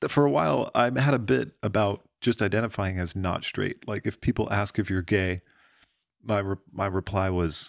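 In a very clean recording with a silent background and a dry, close sound with no echo, a man with an American accent talks at a moderate pace, fairly low in pitch with ordinary pitch variation, in an unremarkable speaking voice. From rural Pennsylvania. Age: 20s. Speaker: stand-up comedian. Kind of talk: casual chat.

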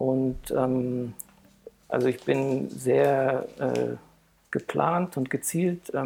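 A man speaks over noticeable background noise. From Heidelberg area, Germany. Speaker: nude photographer. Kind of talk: casual interview chat. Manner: halting, many fillers.

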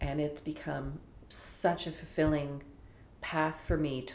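With a Canadian accent and a very deep, low pitch, a woman speaks amid audible room echo. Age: 60s. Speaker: film festival executive. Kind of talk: interview.

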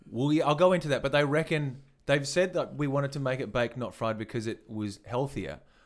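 This man has an Australian accent and a fairly high pitch with ordinary variation. He talks at a fairly quick pace on a very clean recording with a silent background. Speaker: comedy podcast co-host. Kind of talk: casual chat.

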